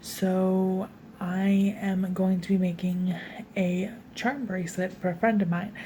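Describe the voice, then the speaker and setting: A woman whispers quietly in an American accent at a fairly slow pace, somewhat breathy. Audible room echo surrounds her voice. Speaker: crafting YouTuber. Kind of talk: craft tutorial vlog. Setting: home, filmed at night. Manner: casual, filler-heavy.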